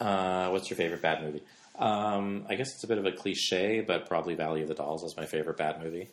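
Over noticeable background noise, a man with a Canadian accent and a very deep, low pitch speaks at a very fast pace with ordinary pitch variation. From Canada. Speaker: film and television director. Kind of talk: casual interview. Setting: at his home.

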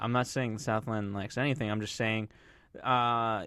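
Captured in a very clean recording with a silent background, a man talks at a fairly quick pace in a plain, everyday voice of medium pitch. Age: 20s. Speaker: TV recap podcast co-host. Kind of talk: casual chat. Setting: studio.

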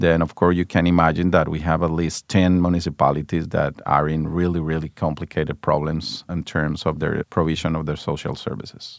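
The background is quiet as a man talks. His voice sounds dry and close, without any echo. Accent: Spanish. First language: Spanish. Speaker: government official. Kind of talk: interview.

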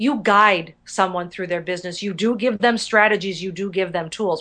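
A woman's bright, sharp, energetic voice against a quiet background. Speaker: professional speaker and business consultant. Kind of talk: interview.

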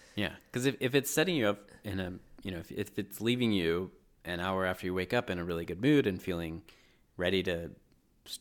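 The recording is very clean, with a silent background. The pitch variation is ordinary. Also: man. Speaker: podcast co-host. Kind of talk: casual chat. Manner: fast, mumbling.

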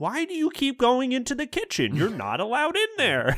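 Fairly quick and sing-song, this put-on character voice sits at a fairly high pitch. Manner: cheerful, sing-song while scolding.

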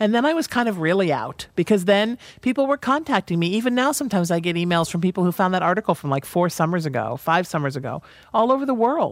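A woman talks at a very fast pace with a medium pitch and very wide pitch swings, on a very clean recording with a silent background. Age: 40s. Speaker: comic and radio host. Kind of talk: casual chat.

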